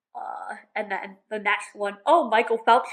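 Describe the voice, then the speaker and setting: Very slowly, a woman speaks in a fairly high voice. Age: 20s. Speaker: video reactor. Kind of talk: reaction commentary. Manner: hesitant, filler-heavy.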